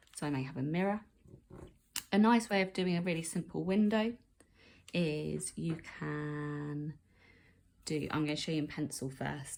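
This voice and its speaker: At a moderate pace, a woman with a very deep, low pitch talks with ordinary pitch variation and long, frequent pauses. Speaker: art teacher. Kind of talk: tutorial.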